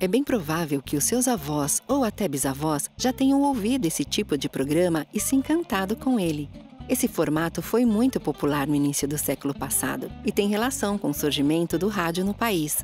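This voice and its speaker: Over music in the background, a woman talks at a fairly low pitch with very wide pitch swings, a moderate pace, very even loudness and hardly any pauses. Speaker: voice actor. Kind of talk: informative podcast narration.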